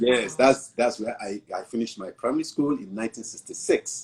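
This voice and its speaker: A man speaks at a fairly quick pace with a medium-pitched voice. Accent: Nigerian. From southwest Nigeria. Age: 60s. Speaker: pastor. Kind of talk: interview.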